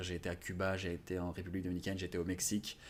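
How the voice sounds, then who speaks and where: A man talks at a very deep, low pitch. Behind him the background is silent, and the recording is very clean. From France. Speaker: YouTuber on language learning. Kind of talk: interview. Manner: hesitant, many fillers.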